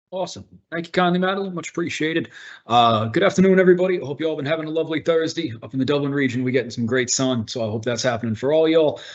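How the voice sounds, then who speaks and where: Very fast and with lively intonation, a man with a Boston accent talks at a fairly high pitch. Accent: Boston American. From US Northeast, Boston. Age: 30s. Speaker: workplace integration officer. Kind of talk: online presentation. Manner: animated.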